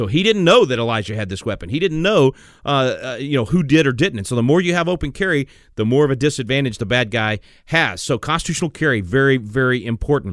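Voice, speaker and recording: A man's very fast, medium-pitched speech with lively intonation. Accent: Texan. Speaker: radio host. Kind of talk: call-in radio show. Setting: studio. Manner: animated.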